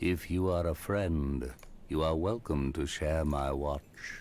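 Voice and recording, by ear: At a fairly slow pace, a man uses a put-on character voice with a very deep, low pitch over clear background noise.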